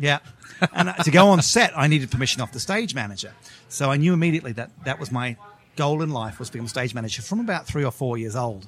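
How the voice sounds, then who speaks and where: A man with an American accent at medium pitch, lively intonation and a very fast pace, with music in the background. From England. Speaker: television executive producer. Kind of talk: casual interview.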